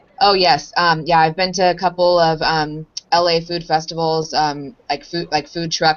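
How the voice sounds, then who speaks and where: In an American accent, the speaker keeps a moderate pace with monotone, flat intonation and hardly any pauses. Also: woman. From Southern California (Anaheim). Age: 30s. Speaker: dance teacher, interviewee. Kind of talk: interview. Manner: hesitant, many fillers and repeats.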